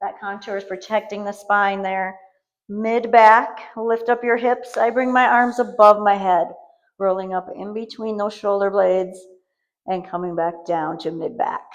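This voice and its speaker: A woman with a normal speaking voice talks at a fairly slow pace, her medium pitch carrying fairly even intonation. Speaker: fitness instructor. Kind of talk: guided workout tutorial.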